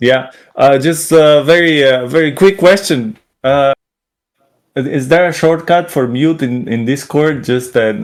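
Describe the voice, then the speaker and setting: With a Slovenian accent, a man at a fairly high pitch talks at a fairly slow pace with ordinary pitch variation. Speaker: game artist. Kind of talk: video interview. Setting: video call on Discord.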